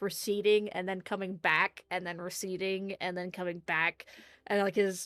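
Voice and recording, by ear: The clip is reading aloud in a natural voice.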